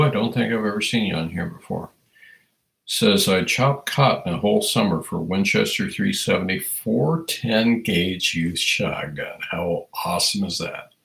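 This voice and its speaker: A man speaks with a US Midwestern accent. His pace is moderate. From Iowa, US Midwest. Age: 60s. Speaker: firearms educator, livestream host. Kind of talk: casual livestream chat reading viewer comments. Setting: livestream.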